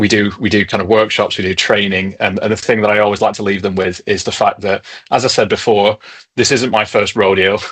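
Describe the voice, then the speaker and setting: The speech comes at a fairly quick pace in a northern English accent, its intonation monotone and flat. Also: man, fairly low pitch for a man. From northern England. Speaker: tech company co-founder. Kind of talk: webinar presentation.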